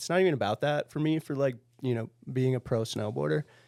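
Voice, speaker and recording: This man has an unremarkable speaking voice and an American accent. He talks at a fairly quick pace with lively intonation. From Minnesota. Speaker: pro snowboarder. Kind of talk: podcast interview.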